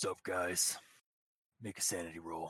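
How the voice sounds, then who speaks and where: A man's booming, raspy put-on character voice, pitched very deep and low. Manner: casual, jokey.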